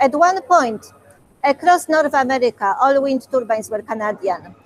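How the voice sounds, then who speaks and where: In a Polish accent, a woman speaks at a moderate pace with a high pitch and lively intonation, the sound dry and close with no echo. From Poland. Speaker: museum curator. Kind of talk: Q&A talk with school classes. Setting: video call.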